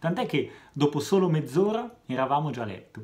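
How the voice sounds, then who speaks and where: A man talks at a moderate pace. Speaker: comedian. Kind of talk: stand-up comedy monologue. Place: home room. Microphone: phone near.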